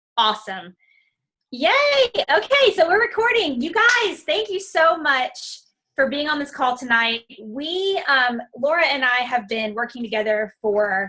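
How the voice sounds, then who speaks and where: With a bright, sharp tone, a woman raises and projects her high-pitched voice, making very wide pitch swings at a fairly slow pace. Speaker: fitness coach. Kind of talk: testimony. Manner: loud.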